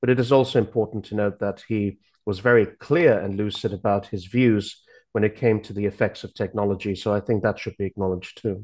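At a fairly quick pace, a man talks in a plain, everyday voice, fairly low in pitch with fairly even intonation. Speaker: university lecturer. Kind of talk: political commentary.

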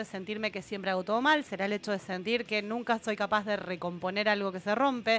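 At a medium pitch, a woman speaks at a fairly quick pace. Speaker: radio co-host, music therapist. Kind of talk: casual chat. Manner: loud.

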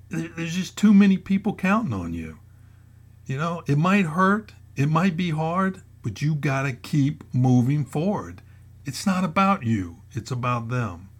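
On a very clean recording with a silent background, a man's fairly high, somewhat breathy voice makes very wide pitch swings. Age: 60s. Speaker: retired federal agent turned motivational blogger. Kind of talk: motivational podcast monologue. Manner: hesitant with frequent fillers.

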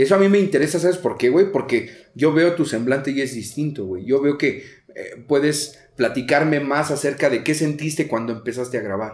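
A man's ordinary speaking voice, fairly high in pitch, at a moderate pace. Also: ordinary pitch variation. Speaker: podcast host, recovering addict. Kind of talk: casual interview.

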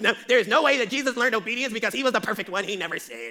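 In a raised, projected put-on character voice, a man speaks at a very fast pace with a high pitch and ordinary pitch variation. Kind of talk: preacherly, doctrinal.

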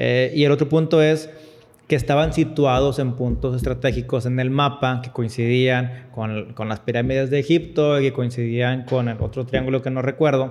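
A man talks at a moderate pace and a medium pitch, with fairly even intonation. He has an unremarkable speaking voice. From Monterrey, northern Mexico. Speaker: podcast host. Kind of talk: interview.

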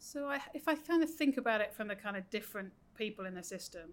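The speaker is a woman. She has a British accent. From UK. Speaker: senior education official. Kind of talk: interview.

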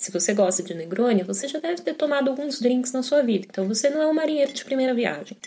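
A woman speaks very fast in a high voice with hardly any pauses, her tone animated and intonation lively. Noticeable background noise sits behind her. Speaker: podcast host on drinks. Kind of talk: casual monologue.

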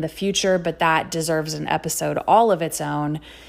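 A woman with an American accent and a fairly low pitch is heard in a very clean recording with a silent background. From Texas, Houston area. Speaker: podcast host. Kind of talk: personal monologue.

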